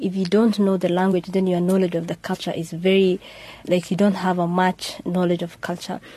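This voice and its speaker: Somewhat breathy, a woman speaks in a dark, mellow tone with monotone, flat intonation. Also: medium pitch for a woman. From Kenya, Somali community. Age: young. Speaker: youth panelist. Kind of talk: panel discussion. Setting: studio.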